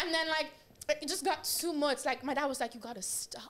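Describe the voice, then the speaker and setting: With an American accent, a woman speaks in a raised, projected voice and an animated tone over noticeable background noise. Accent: American-sounding accent picked up from TV. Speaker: podcast guest. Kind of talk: casual chat.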